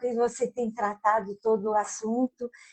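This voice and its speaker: Somewhat breathy speech at a fairly slow pace. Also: woman. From Brazil, southern Minas Gerais. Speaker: psychologist and author. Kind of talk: interview.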